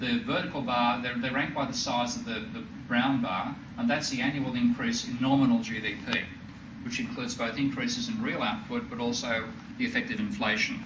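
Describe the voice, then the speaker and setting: A man with an Australian accent at a fairly quick pace, very wide pitch swings, noticeable background noise and audible room echo. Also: fairly high pitch for a man. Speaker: economist. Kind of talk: lecture. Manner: halting, with frequent self-corrections.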